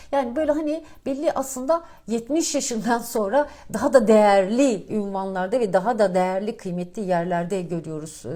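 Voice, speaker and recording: Her dark, mellow tone sits at a fairly high pitch, and this woman moves at a moderate pace with lively intonation. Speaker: financial markets commentator. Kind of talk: market commentary monologue. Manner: casual, many filler hesitations.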